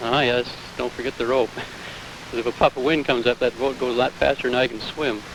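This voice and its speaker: A man talks at a very fast pace in a monotone, flat intonation at a medium pitch. Noticeable background noise runs underneath. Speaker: solo transatlantic sailor. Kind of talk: interview answer.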